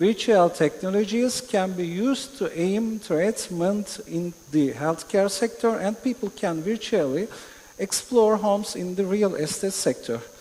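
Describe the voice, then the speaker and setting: Speaking fairly slowly with a Turkish accent, a man uses a high pitch with ordinary pitch variation. Noticeable background noise can be heard. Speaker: panelist. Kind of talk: panel discussion. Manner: halting.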